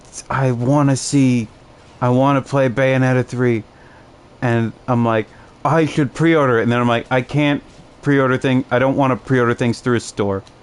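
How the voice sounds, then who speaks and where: A man with an American accent and very even loudness. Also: medium pitch for a man, moderate pace. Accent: Chicago accent noted by others. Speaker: gaming streamer. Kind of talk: casual chat while gaming. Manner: animated.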